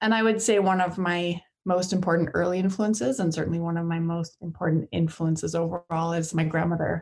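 With a Canadian accent, a woman in a normal speaking voice talks at a fairly quick pace with hardly any pauses. Her pitch sits fairly low and her intonation is fairly even. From Ottawa, Canada. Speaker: explorer and author. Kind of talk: interview.

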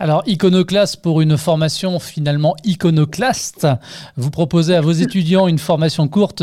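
A man's fairly high pitch pairs with a dark, mellow tone. He goes at a moderate pace. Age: 40s. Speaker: radio podcast host. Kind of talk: radio interview. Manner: formal.

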